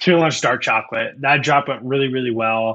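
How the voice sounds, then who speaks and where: A man's medium-pitched voice with a Midwestern American accent. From US Midwest, Iowa. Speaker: snack company founder and CEO. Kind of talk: business podcast interview.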